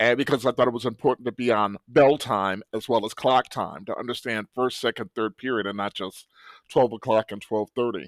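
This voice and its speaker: A plain, everyday voice with an American accent moves at a fairly quick pace with ordinary pitch variation. The recording is very clean, with a silent background and a dry, close sound with no echo. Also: man. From Cleveland, Ohio, US Midwest. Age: 60s. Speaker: high school French teacher. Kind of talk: podcast interview.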